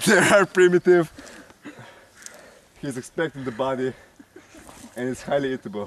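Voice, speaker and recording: Over noticeable background noise, a man speaks at a moderate pace with fairly high pitch and lively intonation. His loudness swings widely, and he leaves long, frequent pauses. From Slovenia. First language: Slovenian. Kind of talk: comedic parody of survival show narration. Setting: outdoors.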